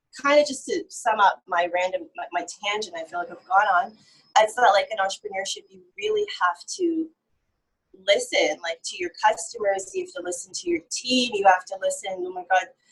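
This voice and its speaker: A woman with an American accent, fairly high-pitched, with very wide pitch swings, big swings in loudness, a somewhat breathy quality and a moderate pace. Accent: North American, sounds foreign in Uganda. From Canada. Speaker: entrepreneur. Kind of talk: casual interview. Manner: animated.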